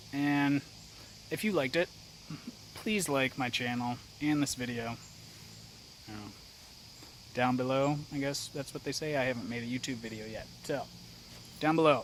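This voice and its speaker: A man with an American accent mumbles at a moderate pace, leaving long, frequent pauses. His pitch is medium, with ordinary pitch variation. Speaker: outdoors vlogger. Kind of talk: casual vlog talk to camera. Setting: outdoors, then at home. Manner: mumbling; hesitant, low-energy.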